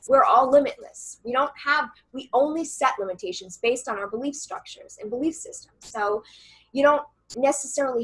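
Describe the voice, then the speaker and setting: Here a woman speaks at a moderate pace in a high pitch. Her tone is bright and sharp, with lively intonation. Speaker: channeler and coach. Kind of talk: interview conversation. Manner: loud.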